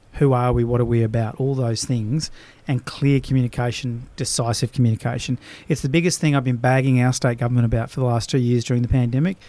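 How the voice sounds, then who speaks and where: Talking very fast at very even loudness, a man with an Australian accent has a medium pitch and a dark, mellow tone. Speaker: business coach and podcast host. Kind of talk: casual chat. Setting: studio.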